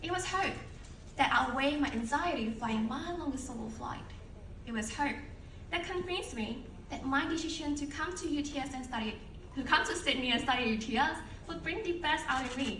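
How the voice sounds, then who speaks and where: There is noticeable background noise and audible room echo as a woman talks at a fairly quick pace. Her high voice has lively intonation. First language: not English. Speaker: alumni speaker. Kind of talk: ceremony speech. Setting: stage with audience. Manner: formal.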